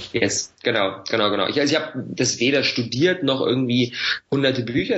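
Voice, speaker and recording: There is noticeable background noise in this recording. Over it, a man talks at a medium pitch. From Berlin, Germany. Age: 20s. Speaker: online entrepreneur and YouTuber. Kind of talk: podcast interview. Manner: casual, filler-heavy.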